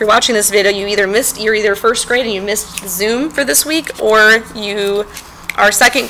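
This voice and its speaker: Against noticeable background noise, a woman talks fairly quickly at medium pitch with ordinary pitch variation. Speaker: elementary art teacher. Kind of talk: tutorial. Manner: fast.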